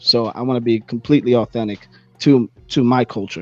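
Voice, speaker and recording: A medium-pitched man with an American accent and an unremarkable speaking voice talks at a fairly quick pace with fairly even intonation, in a dry, close sound with no echo. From US Northeast, Bronx, New York. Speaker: hip-hop artist. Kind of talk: interview.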